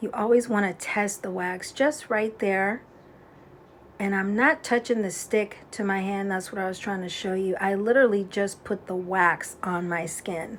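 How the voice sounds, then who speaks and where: Soft-spoken, a woman talks at a moderate pace and medium pitch with ordinary pitch variation. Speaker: beauty instructor. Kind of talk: tutorial.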